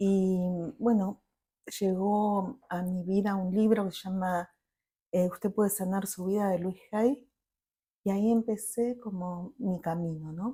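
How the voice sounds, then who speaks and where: A woman of medium pitch speaks at a fairly slow pace, with long, frequent pauses. Her voice is somewhat breathy with a dark, mellow tone and fairly even intonation. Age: 50s. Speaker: family constellations therapist. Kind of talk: interview.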